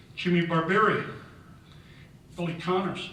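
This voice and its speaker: With an American accent, a man speaks at a fairly slow pace, and audible room echo surrounds his voice. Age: 60s. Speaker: hall of fame inductee, former baseball player and coach. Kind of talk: acceptance speech.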